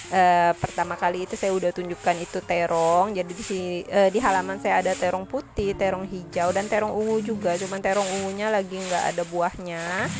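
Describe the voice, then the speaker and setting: Over noticeable background noise, a woman talks at a fairly quick pace with monotone, flat intonation. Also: medium pitch for a woman. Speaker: cooking and home vlogger. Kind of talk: vlog voiceover narration. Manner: casual, friendly, with filler 'eh'.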